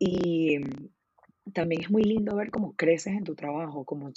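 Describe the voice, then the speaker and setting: Her pitch is very deep and low for a woman. She speaks at a moderate pace with ordinary pitch variation. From Venezuela. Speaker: photographer. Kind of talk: casual interview.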